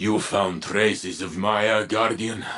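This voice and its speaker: A man's raspy put-on character voice, fairly low-pitched and fairly slow. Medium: video game. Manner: earnest, measured.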